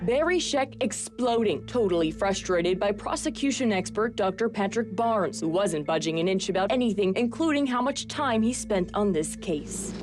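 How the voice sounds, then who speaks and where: A woman at medium pitch with lively intonation, very even loudness and a moderate pace, hardly any pauses, music in the background. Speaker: voice actor. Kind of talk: documentary news-report narration.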